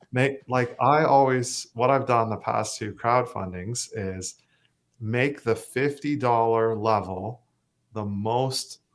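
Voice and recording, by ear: A man speaks slowly at a medium pitch, with ordinary pitch variation.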